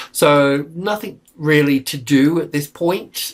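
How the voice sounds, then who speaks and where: A somewhat breathy male voice. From Australia. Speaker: market analyst. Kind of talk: technical market analysis walkthrough; casual aside. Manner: halting, many fillers; casual.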